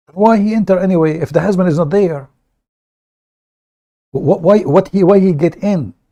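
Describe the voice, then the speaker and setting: A man speaks at a high pitch with a dark, mellow tone and a moderate pace. Long pauses come often. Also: ordinary pitch variation. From Middle East. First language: Arabic. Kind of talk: live stream commentary.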